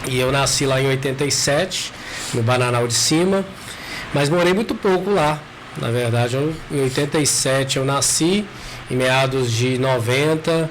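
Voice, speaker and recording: Speaking at a fairly slow pace in a medium pitch, a man keeps very even loudness and ordinary pitch variation, with noticeable background noise and audible room echo. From Brazil, eastern Minas Gerais (Caratinga region). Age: 30s. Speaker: psychologist and local councillor. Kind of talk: podcast interview. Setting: studio.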